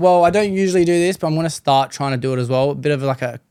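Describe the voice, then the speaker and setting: Speaking with an Australian accent, a man talks at a very fast pace. His tone is dark and mellow, with ordinary pitch variation. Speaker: podcast host. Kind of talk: casual podcast conversation.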